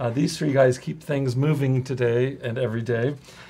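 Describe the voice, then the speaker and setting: Somewhat breathy speech in an American accent, at a moderate pace with fairly even intonation. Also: man. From US West Coast (central California). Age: 60s. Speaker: addiction specialist, live show host. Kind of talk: live webcast talk. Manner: hesitant, many fillers.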